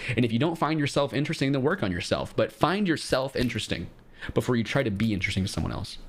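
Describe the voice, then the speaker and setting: A man talks at a very fast pace with vocal fry. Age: 20s. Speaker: streamer giving dating advice. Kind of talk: live stream advice chat with callers. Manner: casual, blunt.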